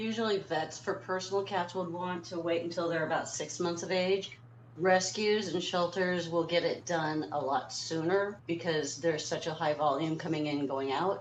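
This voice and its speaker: Speech at a moderate pace with ordinary pitch variation and hardly any pauses runs over noticeable background noise. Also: woman, fairly low pitch for a woman. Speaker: cat foster carer. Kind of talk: live stream commentary.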